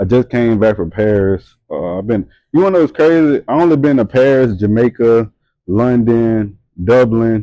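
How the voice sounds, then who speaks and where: In a Louisiana accent, a man speaks at a moderate pace with a dark, mellow tone, the sound dry and close with no echo. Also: medium pitch for a man, lively intonation. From Louisiana (Hammond). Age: 20s. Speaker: model and entrepreneur. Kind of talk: casual chat. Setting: tattoo studio.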